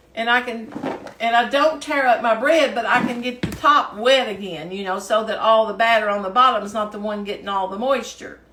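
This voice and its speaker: With a Kentucky accent, a woman speaks at a moderate pace in a high pitch with ordinary pitch variation, amid noticeable background noise and audible room echo. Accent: Southern US (Kentucky). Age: 60s. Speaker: home cooking video host. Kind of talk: cooking tutorial. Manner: casual, chatty with fillers.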